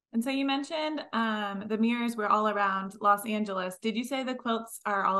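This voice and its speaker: Using an unremarkable speaking voice, a woman talks at a fairly quick pace in a fairly high pitch with ordinary pitch variation. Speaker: podcast co-host. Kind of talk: casual interview chat.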